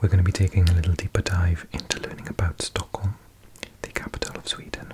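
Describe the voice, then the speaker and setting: A soft-spoken man talks in a very deep, low voice with flat, monotone intonation. His loudness swings a lot, and background noise is noticeable. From South Wales. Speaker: ASMR creator. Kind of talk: casual talk to camera.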